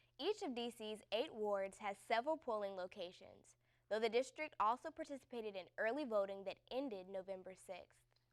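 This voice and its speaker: A woman with a normal speaking voice keeps a moderate pace, her fairly high pitch moving with ordinary variation. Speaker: student news anchor. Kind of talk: news reading. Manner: formal.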